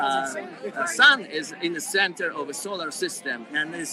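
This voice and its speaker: Noticeable background noise surrounds a man with a fairly high pitch. He talks at a fairly slow pace with lively intonation. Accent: Polish. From Poland. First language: Polish. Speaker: protester. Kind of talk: street interview. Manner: halting.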